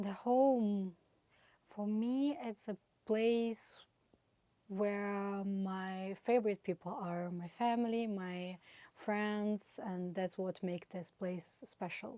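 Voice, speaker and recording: In a Russian accent, a woman with a dark, mellow tone speaks at a very slow pace and with fairly even intonation. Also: medium pitch for a woman. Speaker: exchange student. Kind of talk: interview answers.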